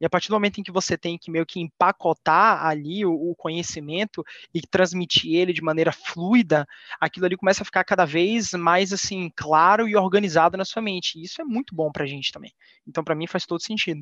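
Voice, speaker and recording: Speaking with a São Paulo accent, a man talks at a high pitch and a fairly quick pace with fairly even intonation, in a dry, close sound with no echo against a quiet background. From Bahia, Salvador. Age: 20s. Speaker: trainee engineer. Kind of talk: casual interview.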